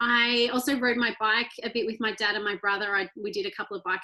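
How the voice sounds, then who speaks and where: A woman with an Australian accent speaks quickly-ish at a fairly high pitch, her tone bright and sharp. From rural Australia (Victoria). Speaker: ultra-endurance athlete. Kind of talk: interview conversation.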